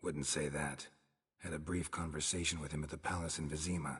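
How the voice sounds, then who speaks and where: Using a put-on character voice, a man speaks at a fairly quick pace with a very deep, low pitch and monotone, flat intonation. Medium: video game. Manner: terse, dry, clipped.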